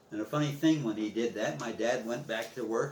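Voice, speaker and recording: A man with an American accent talks at a medium pitch. There is audible room echo and noticeable background noise. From US Midwest, East Chicago, Indiana. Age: 80s+. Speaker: war veteran. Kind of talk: oral history interview. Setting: at home. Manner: halting.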